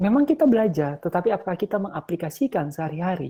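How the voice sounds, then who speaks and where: This man speaks very fast in a high pitch with lively intonation. His tone is dark and mellow. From Ambon, eastern Indonesia. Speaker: lecturer. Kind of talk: lecture. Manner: casual, conversational with fillers.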